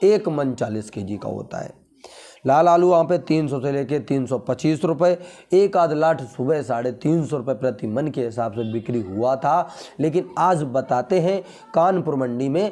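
A man with a dark, mellow tone and fairly high pitch speaks fairly slowly with lively intonation. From Uttar Pradesh, India. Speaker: potato market news youtuber. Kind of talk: market update vlog. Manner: casual, conversational. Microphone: lapel.

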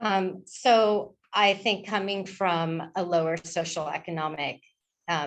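A woman with an American accent, fairly low-pitched, speaking at a very slow pace in a fairly even intonation. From Malibu, California. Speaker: school board candidate. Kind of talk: debate answer.

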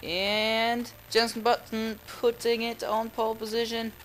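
A man talks with a high pitch and a non-native accent. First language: not English. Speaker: gaming YouTuber. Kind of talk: gameplay commentary. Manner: excitable.

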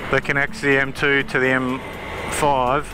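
Faint background music accompanies a dry sound that carries no echo. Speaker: motorbike reviewer. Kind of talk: casual ride commentary. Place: motorbike. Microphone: helmet.

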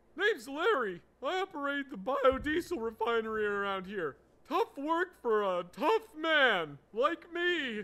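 The speaker uses a put-on character voice with a high pitch and very wide pitch swings. The pace is fairly slow. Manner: gruff, tough.

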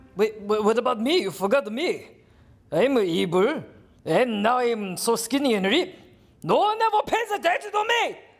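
A man puts on a character voice, extremely high and whiny. His pace is moderate. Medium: puppet show. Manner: whiny, attention-seeking, petulant.

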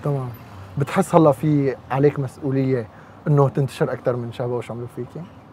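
A man is speaking, with a dry sound that has no echo. Light background noise can be heard. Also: fairly quick pace. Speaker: radio host. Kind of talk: casual interview. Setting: live audience. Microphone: lapel.

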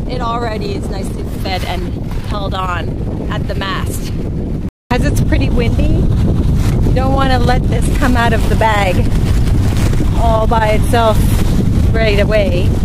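A woman's voice, dry with no echo, at a fairly slow pace with long, frequent pauses over loud background noise. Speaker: sailing vlogger. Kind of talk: tutorial. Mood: cheerful. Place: boat.

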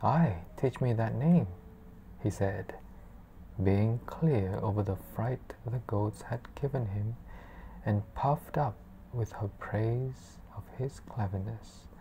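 Over light background noise, a soft-spoken woman speaks at a very slow pace in a very deep, low pitch, her dark, mellow, soothing tone marked by vocal fry and long, frequent pauses. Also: ordinary pitch variation. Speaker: ASMR book reader. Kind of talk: bedtime story reading aloud. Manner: slow, soft-spoken, soothing. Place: home room. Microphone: lapel.

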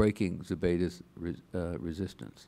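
A dark, mellow tone marks the man's voice. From New England. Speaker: retired government lawyer. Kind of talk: lecture. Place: hall. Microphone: podium.

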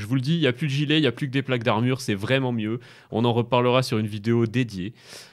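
A man's voice sits at a medium pitch. Behind him, the background stays quiet. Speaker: gaming YouTuber and streamer; gaming YouTuber, streamer. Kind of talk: gaming commentary video. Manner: fast; hesitant, many fillers.

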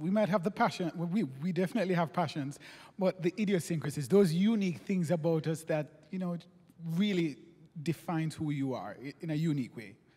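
The voice has a dark, mellow tone, moves at a fairly quick pace, and shows ordinary pitch variation. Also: man, high pitch for a man. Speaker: interviewer. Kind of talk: interview. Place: stage. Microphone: handheld.

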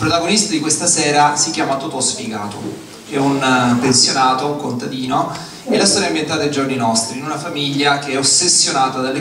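A man speaks fairly quickly at a fairly high pitch with ordinary pitch variation. Audible room echo and light background noise surround him. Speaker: show presenter. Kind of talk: stage introduction to audience. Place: stage. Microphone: pa.

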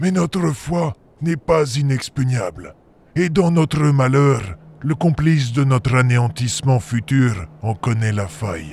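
Medium pitch and a moderate pace from a man doing a put-on character voice. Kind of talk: dark fantasy audio drama. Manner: grave, weary, foreboding.

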